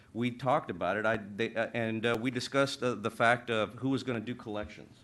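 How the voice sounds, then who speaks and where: A man rattles along at a very fast pace, his pitch medium. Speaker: city council member. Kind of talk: public meeting statement. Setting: city council chamber. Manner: halting, many fillers.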